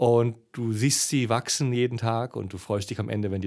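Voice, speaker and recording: Ordinary pitch variation marks an ordinary speaking voice that runs at a fairly quick pace. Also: man. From East Germany. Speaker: adventurer and travel speaker. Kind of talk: casual interview. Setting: festival venue.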